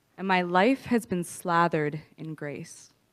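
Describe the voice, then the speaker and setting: A woman with a Prairie accent talks at a fairly slow pace in a fairly low pitch, on a very clean recording with a silent background. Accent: Canadian English, prairies. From Canada, Saskatoon, Saskatchewan. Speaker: recovery speaker. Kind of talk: testimony.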